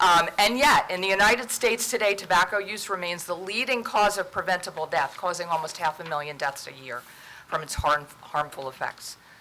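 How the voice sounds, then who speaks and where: A woman talks at a fairly quick pace and medium pitch, with lively intonation and big swings in loudness. Noticeable background noise is present. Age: 60s. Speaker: nonprofit prevention director. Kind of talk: formal presentation. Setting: council meeting.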